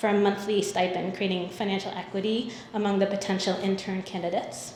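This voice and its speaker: Audible room echo and noticeable background noise surround a voice moving at a fairly quick pace. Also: woman. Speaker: nonprofit program presenter. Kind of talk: conference presentation. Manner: fast.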